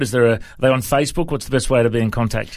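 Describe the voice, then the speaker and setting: The pace is very fast. A man delivers the words with fairly even intonation. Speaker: radio host. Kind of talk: casual interview. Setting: studio.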